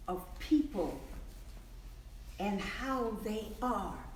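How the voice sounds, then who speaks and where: A woman with an American accent speaks at a very slow pace, her high pitch making very wide swings. Noticeable background noise runs underneath. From Colorado. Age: 80s+. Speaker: storyteller. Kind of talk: storytelling to children.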